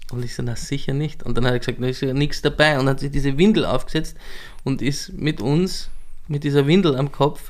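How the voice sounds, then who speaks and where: A man with a plain, everyday voice speaks fairly quickly and fairly high, his pitch varying in an ordinary way. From Lower Austria, southern Weinviertel. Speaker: cabaret performer and DJ. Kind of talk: casual interview chat.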